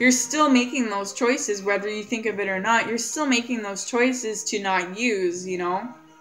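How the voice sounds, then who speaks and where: Music plays in the background, and the room echo is audible. The speech moves at a moderate pace with ordinary pitch variation and hardly any pauses. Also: woman, fairly high pitch for a woman. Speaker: vlogger sharing addiction recovery. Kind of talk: casual vlog monologue. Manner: halting, self-correcting.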